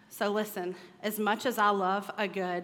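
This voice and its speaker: A woman speaks at a fairly slow pace in a medium pitch. Her voice carries audible room echo. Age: 30s. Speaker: women's ministry speaker. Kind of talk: sermon. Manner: animated.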